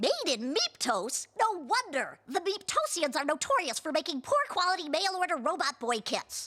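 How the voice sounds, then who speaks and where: A cartoonish character voice at an extremely high pitch runs on with hardly any pauses. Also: moderate pace. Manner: precise, wordy.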